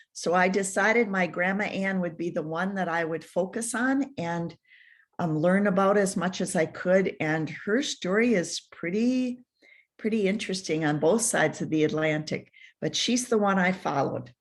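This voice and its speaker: A woman at a medium pitch with ordinary pitch variation, in an Upper Midwest accent, on a very clean recording with a silent background. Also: moderate pace. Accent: Upper Midwest American. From Minnesota, US. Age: 70s. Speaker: author and family historian. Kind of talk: radio interview. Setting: radio show.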